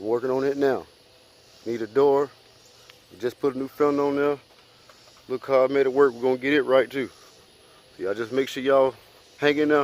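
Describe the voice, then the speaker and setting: A man speaks at a fairly quick pace, broken by long, frequent pauses. Noticeable background noise sits behind him. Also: medium pitch for a man. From Alabama. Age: 20s. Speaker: vlogger, car rebuilder. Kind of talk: casual vlog to camera. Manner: fast; animated.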